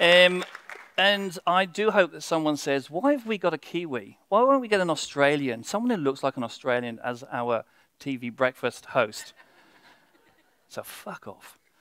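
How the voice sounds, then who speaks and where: Bright and sharp in tone, the voice moves at a moderate pace with very wide pitch swings and big swings in loudness. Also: man, fairly high pitch for a man. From Wales. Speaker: public speaker. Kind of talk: short stage talk.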